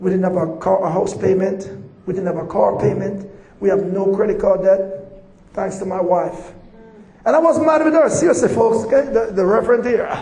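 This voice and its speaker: A man's high-pitched voice at a moderate pace, lively in intonation, over noticeable background noise. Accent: Jamaican. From Jamaica. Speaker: visiting preacher. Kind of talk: sermon. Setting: church with audience.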